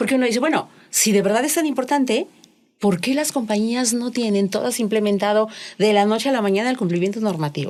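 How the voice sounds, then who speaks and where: At a very fast pace, a woman talks with lively intonation and a fairly high pitch. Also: very even loudness. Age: 60s. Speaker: corporate compliance expert. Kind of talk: podcast interview.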